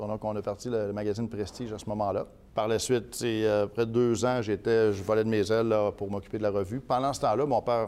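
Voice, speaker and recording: A man speaks at a fairly quick pace with a dark, mellow tone. His pitch is fairly low and his intonation fairly even. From Quebec City region, Quebec. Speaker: politician. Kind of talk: interview.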